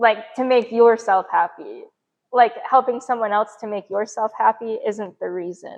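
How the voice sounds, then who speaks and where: In a normal speaking voice, a woman with fairly high pitch talks at a moderate pace with fairly even intonation and big swings in loudness. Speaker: podcast host. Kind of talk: casual chat.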